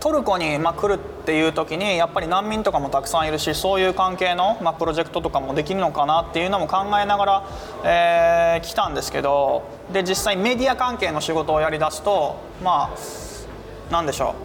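Over noticeable background noise, a man with a high pitch talks at a fairly quick pace with ordinary pitch variation. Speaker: humanitarian aid worker. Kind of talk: interview.

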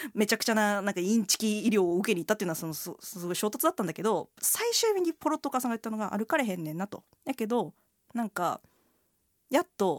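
A woman's very fast, lively speech at a fairly high pitch, with a dry, close sound with no echo on a very clean recording with a silent background. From Kansai, Kobe (Hyogo). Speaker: writer. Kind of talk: casual chat.

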